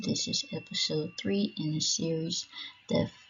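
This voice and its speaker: At a moderate pace, a woman is talking. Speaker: education channel host. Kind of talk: slideshow presentation narration. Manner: subdued, not very enthusiastic.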